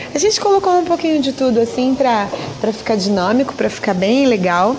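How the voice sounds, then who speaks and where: Noticeable background noise accompanies a woman whose voice is high in pitch. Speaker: podcast host. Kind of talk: casual radio show hosting. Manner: animated.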